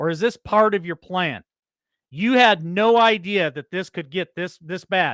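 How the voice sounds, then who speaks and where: A loud man shouts at a moderate pace in a high pitch, with an American accent. The sound is dry and close with no echo, in a very clean recording with a silent background. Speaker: political commentary show host. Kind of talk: news commentary. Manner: loud, yelling; animated.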